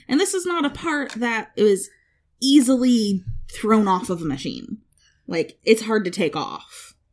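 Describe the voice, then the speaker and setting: On a very clean recording with a silent background, a woman speaks at a fairly slow pace and a fairly high pitch. Her tone is animated, with very wide pitch swings. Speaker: podcast host. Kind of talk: casual chat.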